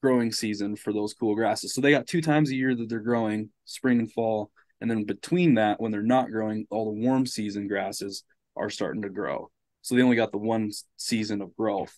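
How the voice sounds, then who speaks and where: Recorded as a dry sound with no echo against a quiet background, a man talks at a fairly quick pace with fairly even intonation. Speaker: podcast guest. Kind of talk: casual explanatory conversation. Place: home room.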